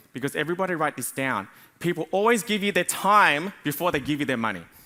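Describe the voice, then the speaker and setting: A man with an Australian accent talks at a very fast pace and fairly high pitch in a bright, sharp tone. His intonation is lively, with vocal fry. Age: 40s. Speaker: business coach. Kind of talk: conference talk. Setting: stage with audience.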